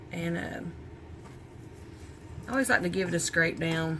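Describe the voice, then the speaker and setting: A woman with an American accent speaks at a fairly low pitch. Her voice carries audible room echo. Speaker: small soap business owner. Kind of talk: tutorial. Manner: casual, chatty.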